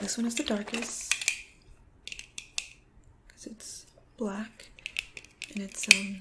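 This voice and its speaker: Against loud background noise, a soft-spoken woman whispers at a very slow pace, with long, frequent pauses. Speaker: ASMR creator. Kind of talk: ASMR role play. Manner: soft-spoken, calming, whispery.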